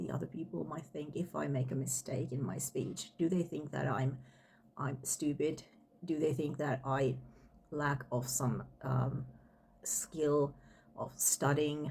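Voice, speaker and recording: A woman's very deep, low voice with a dark, mellow tone, vocal fry, ordinary pitch variation, and long, frequent pauses. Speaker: language teacher. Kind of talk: casual talk to camera. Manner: halting.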